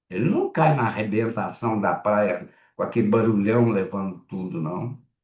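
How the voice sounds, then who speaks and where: A man speaks slowly-ish, at a fairly slow pace and medium pitch. His voice is somewhat breathy, with lively intonation. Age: 70s. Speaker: psychoanalyst and lecturer. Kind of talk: lecture. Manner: halting, with frequent repetitions and fillers.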